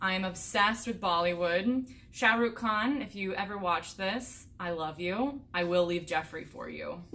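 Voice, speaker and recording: A woman's bright, sharp voice at medium pitch with an American accent, fairly slow pace, ordinary pitch variation and audible room echo. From US Midwest (Indiana). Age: 20s. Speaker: hiker and vlogger. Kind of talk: casual Q&A chat.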